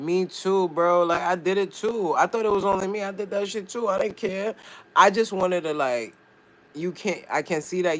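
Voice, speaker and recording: Loud and high-pitched, a man speaks. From New York, Brooklyn. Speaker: live streamer. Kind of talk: casual chat. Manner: animated.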